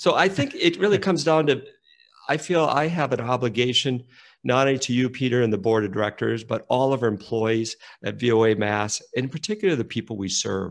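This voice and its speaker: Against a quiet background, a man with an American accent talks in an ordinary speaking voice at a medium pitch and a fairly quick pace, his intonation lively. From rural Minnesota. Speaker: nonprofit executive. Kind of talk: interview conversation.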